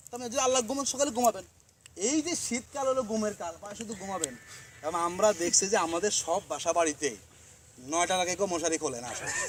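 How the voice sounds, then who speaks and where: There is noticeable background noise behind this man's voice. His pitch is high, and it swings very widely. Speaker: student organization leader. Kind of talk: speech to members. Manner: conversational.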